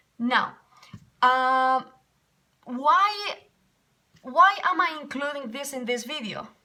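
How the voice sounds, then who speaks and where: A woman with a Spanish accent speaks at a very slow pace in a raised, projected voice, pitched high with lively intonation. Her loudness swings widely, and she leaves long, frequent pauses. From Spain. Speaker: English teacher. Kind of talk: casual vlog storytelling. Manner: animated.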